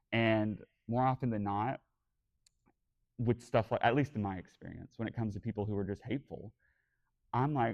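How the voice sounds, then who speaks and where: Speaking at a fairly quick pace, a man of medium pitch sounds animated, with ordinary pitch variation. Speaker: podcast host and convention panelist. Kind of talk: convention panel discussion. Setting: stage with audience at a fan convention. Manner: camp, expressive delivery.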